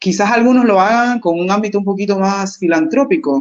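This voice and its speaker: A woman talks at a moderate pace in an unremarkable speaking voice. Her medium pitch has ordinary variation. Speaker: business consultant. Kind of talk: webinar presentation.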